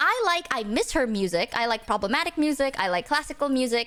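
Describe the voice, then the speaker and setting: A woman speaks at a moderate pace with an Indonesian accent, her high, raised, projected voice animated and full of lively intonation over music in the background. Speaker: vtuber streamer. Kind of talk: casual livestream self-introduction.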